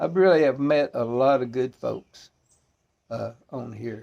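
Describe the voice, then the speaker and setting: With a strong Arkansas accent, the speaker talks at a very slow pace. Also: man. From US South, northeast Arkansas. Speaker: pipe smoking video presenter. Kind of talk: casual chat. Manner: halting, many fillers.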